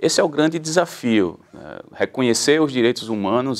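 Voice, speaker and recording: A man with a Pernambuco accent speaks at a moderate pace with lively intonation against a quiet background. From Pernambuco, Brazil. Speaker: public defender, human rights council president; public guest. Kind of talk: interview. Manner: formal. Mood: calm, measured, explanatory. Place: studio. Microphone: lapel.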